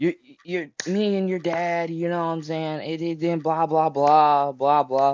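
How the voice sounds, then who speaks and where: A man's fairly high, monotone voice with flat intonation at a fairly slow pace. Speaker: interviewee giving advice. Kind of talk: casual chat.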